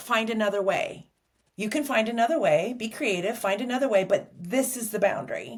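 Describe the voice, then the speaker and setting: Using a normal speaking voice, a woman talks at a moderate speed with a fairly high pitch. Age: 60s. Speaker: sex therapist. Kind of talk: interview.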